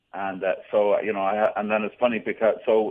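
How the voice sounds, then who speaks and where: With an Irish accent, a man speaks at a fairly low pitch and a moderate pace. His intonation stays fairly even. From Ireland, near Dublin. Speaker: Irish pub owner. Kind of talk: radio phone interview. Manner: hesitant with many fillers.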